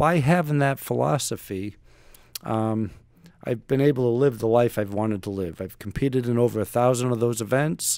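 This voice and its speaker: A man with an unremarkable speaking voice, medium pitch, ordinary pitch variation and a moderate pace, in a very clean recording with a silent background. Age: 60s. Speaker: retired navy special forces operator and author. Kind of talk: podcast interview.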